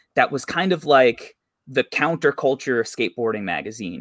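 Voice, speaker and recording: An unremarkable speaking voice from a man with an American accent, medium in pitch with ordinary variation, at a fairly slow pace. The recording is very clean and dry, close with no echo and a silent background. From New York. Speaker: basketball content creator and magazine publisher. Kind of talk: casual podcast interview.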